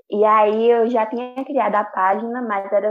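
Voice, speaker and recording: Fairly slow, monotone, flat speech with music in the background. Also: woman. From Pernambuco, Brazil (Bezerros). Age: 20s. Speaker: student and social media creator. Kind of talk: casual chat.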